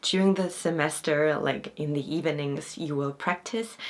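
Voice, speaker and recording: Ordinary pitch variation runs through the speech of a woman with a non-native accent. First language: not Korean. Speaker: acting student and vlogger. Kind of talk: informational vlog. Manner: casual, with fillers.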